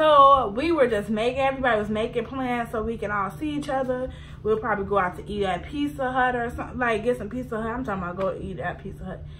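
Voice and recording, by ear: Clear background noise sits under a fairly quick pace and ordinary pitch variation. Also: woman.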